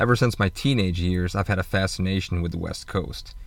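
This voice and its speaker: The speaker has a Midwestern American accent. The pace is fairly quick. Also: man. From Michigan, US Midwest. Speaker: podcaster and van-life vlogger. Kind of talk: casual solo monologue.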